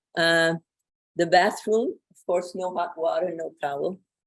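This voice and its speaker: With a French accent, a woman speaks fairly slowly in a fairly low pitch and with fairly even intonation. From France. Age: 80s+. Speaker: Holocaust survivor, retired professor. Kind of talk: testimony. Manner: halting.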